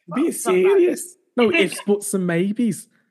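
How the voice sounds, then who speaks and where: A man puts on a strained character voice, high-pitched, in a Liverpool accent. He talks at a fairly slow pace with very wide pitch swings. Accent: Scouse. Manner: emphatic.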